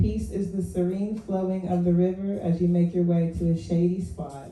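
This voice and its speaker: A woman speaks quietly with an American accent, her voice somewhat breathy and fairly low in pitch. Her intonation stays fairly even at a fairly slow pace, with audible room echo. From West Virginia. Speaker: poet. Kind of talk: poetry reading. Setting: open mic stage with audience. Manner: low, quiet voice.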